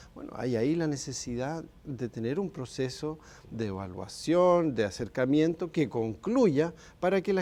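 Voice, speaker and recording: A man in a Chilean accent with a fairly high pitch, very wide pitch swings, a dark, mellow tone and a fairly slow pace. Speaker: human rights expert. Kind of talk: TV interview.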